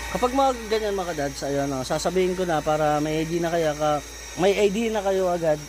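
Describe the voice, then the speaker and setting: The talking runs at a fairly quick pace amid noticeable background noise. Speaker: YouTuber giving home water pump tips. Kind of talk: tutorial. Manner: casual, conversational.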